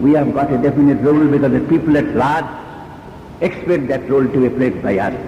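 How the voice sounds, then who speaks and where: With an Indian accent, a man rattles along at a very fast pace amid noticeable background noise. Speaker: trade union leader. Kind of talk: public speech.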